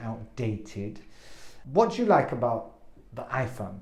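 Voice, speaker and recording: In a room with audible echo, a man with a medium pitch speaks at a moderate pace, somewhat breathy, his intonation fairly even while his loudness swings widely. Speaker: English teacher. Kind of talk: language lesson.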